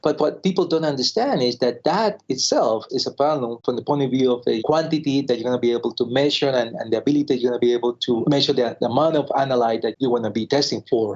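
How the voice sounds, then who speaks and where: A man's medium-pitched voice at a very fast pace, with very even loudness, hardly any pauses and ordinary pitch variation. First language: Spanish. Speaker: pathologist, lab director. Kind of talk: interview.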